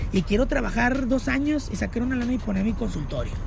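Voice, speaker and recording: With music in the background, a man talks at a fairly quick pace. Room echo is audible. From northern Mexico, Monterrey. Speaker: burger restaurant owner and musician. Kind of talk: casual chat. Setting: in his burger restaurant, public place.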